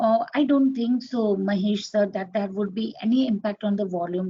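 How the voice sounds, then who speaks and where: Somewhat breathy, a woman talks at a fairly quick pace with ordinary pitch variation. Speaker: trading instructor. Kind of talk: online class. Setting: live webinar with screen share.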